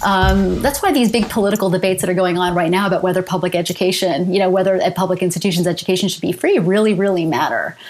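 In a Canadian accent, a woman of medium pitch talks very fast with hardly any pauses, very even loudness and ordinary pitch variation, over noticeable background noise. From Canada, London, Ontario. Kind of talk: interview.

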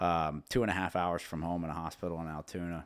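With a central Pennsylvania accent, a man speaks at a fairly quick pace in a very deep, low pitch and a flat, monotone intonation, on a very clean recording with a silent background. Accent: central Pennsylvania American. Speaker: businessman and father. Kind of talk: casual interview chat. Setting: on the road at a trade show.

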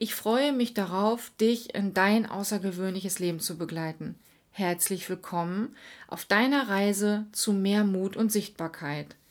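Here is a woman with an unremarkable speaking voice and ordinary pitch variation, talking at a fairly slow pace. The recording is very clean with a silent background. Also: medium pitch for a woman. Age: 40s. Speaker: podcast host and life coach. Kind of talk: scripted monologue.

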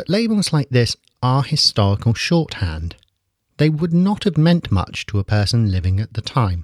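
A man speaks at medium pitch and a moderate pace, somewhat breathy. His pitch swings very widely. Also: dry, close sound with no echo. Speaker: podcast host. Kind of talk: scripted narration.

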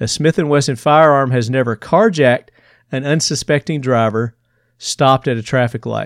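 A man with a Southern US accent, medium pitch, moderate pace and ordinary pitch variation, in a dry, close recording with no echo, very clean with a silent background. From Tennessee, US South. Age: 50s. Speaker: podcast host. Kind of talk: casual interview chat.

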